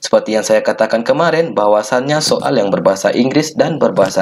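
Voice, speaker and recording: The speaker is a man. His voice is medium in pitch. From Minangkabau, West Sumatra. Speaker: geography and economics teacher. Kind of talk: educational tutorial talk.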